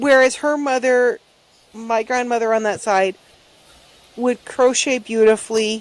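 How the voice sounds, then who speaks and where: A soft-spoken woman with a high voice, a fairly slow pace, fairly even intonation, and long, frequent pauses. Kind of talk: casual chat.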